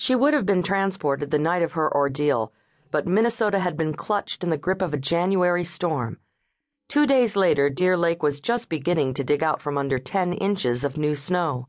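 A woman speaks with an ordinary speaking voice at a fairly low pitch. Her intonation is lively and her loudness very even. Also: moderate pace. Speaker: audiobook narrator. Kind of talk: dramatic audiobook narration of a legal thriller. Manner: tense, suspenseful, gravely paced; shifts into character voices for dialogue, pained and gruff.

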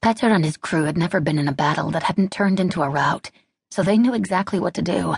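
A woman with a fairly low pitch and vocal fry talks at a very fast pace, in a dry, close sound with no echo over a quiet background. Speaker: audiobook narrator. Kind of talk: dramatic audiobook narration of a wartime battle scene. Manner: tense, building urgency through short clipped sentences.

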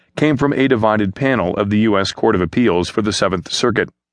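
Very fast talk from a man at a fairly low pitch with ordinary pitch variation, over a quiet background. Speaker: newsreader. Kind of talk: news reading, scripted newspaper article read aloud in a steady, neutral broadcast tone. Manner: formal, even-paced and measured, with a dispassionate delivery; fluent, clear and businesslike, with few pauses.

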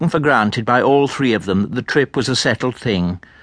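The speaker is reading aloud in a natural voice. It is delivered as read text.

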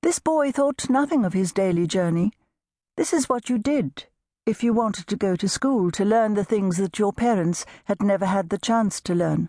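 At a medium pitch, a woman speaks with a warm tone that is also dark and mellow, at a moderate pace and very even loudness. The sound is dry and close with no echo, against a quiet background. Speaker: audiobook narrator. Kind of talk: audiobook narration, unabridged novel reading. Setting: studio. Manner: measured, warm storytelling pace, gently expressive; shifts into character voices for dialogue.

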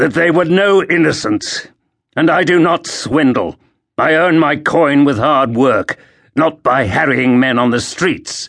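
Using a put-on character voice, a man talks fairly slowly at a fairly high pitch. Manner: through gritted teeth, indignant.

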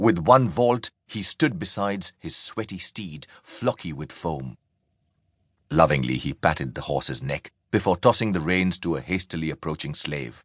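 With a very deep, low pitch and vocal fry, a man delivers lines in a dramatic, animated tone with lively intonation at a moderate pace, recorded dry and close with no echo against a quiet background. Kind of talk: audiobook narration of historical fiction, scripted reading aloud. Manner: measured, dramatic storytelling pace with vivid, animated delivery.

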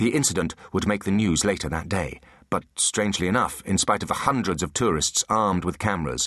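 Pitch varies in an ordinary way while someone is reading aloud in a natural voice.

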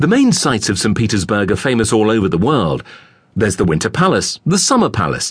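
A man with vocal fry and an enthusiastic tone, against a quiet background. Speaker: audiobook narrator. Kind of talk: scripted travel-guide narration, read aloud. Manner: measured, clear informative delivery; warmly enthusiastic, recommending sights to listener.

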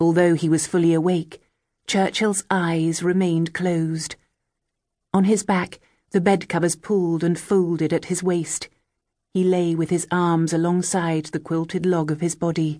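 A woman talks at a moderate pace in a fairly low pitch, her tone dark and mellow. Her intonation is monotone and flat, and her loudness stays very even. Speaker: audiobook narrator. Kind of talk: dramatic audiobook narration, reading a novel aloud. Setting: studio. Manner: measured, hushed and atmospheric, building tension.

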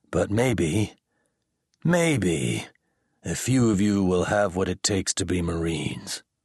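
With a very deep, low pitch and lively intonation, a man speaks at a very slow pace with long, frequent pauses. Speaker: audiobook narrator. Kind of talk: audiobook narration of sci-fi, with gruff drill instructor character voices.

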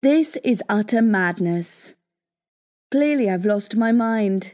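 A woman speaks at a fairly slow pace, her fairly high pitch rising and falling with ordinary variation. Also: quiet background. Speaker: audiobook narrator. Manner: animated, theatrical, playful; voices the fiance's muffled lines, wakes in a bewildered tone.

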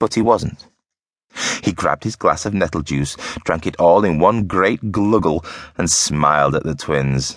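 A man speaks in an animated tone at a fairly slow pace. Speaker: audiobook narrator. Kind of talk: playful dramatic storytelling narration of a children's book. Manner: gleefully animated, relishing gross-out comic detail; switches into gruff rustic character voices for dialogue.

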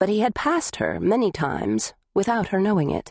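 A woman is speaking. Her pace is moderate. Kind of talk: audiobook narration of a thriller. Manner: dramatic, suspenseful, measured; tense, hushed, menacing.

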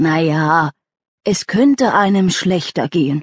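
Using a put-on character voice, a woman speaks raspy and fairly low in pitch at a fairly slow pace, the sound dry and close with no echo. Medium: read story. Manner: warm, plainspoken, a little self-mocking.

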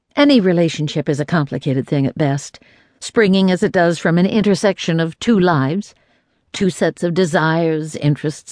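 A woman's fairly low-pitched, lively delivery at a moderate pace, a normal speaking voice against a quiet background. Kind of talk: audiobook narration, reading aloud a nonfiction book. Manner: measured, warm and reflective, with a steady storytelling pace.

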